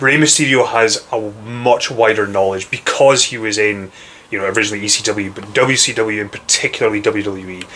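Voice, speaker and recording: A man's fairly low voice in a strong Scottish accent, fairly quick and fairly even in intonation, over noticeable background noise. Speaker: wrestling fan. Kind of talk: casual chat.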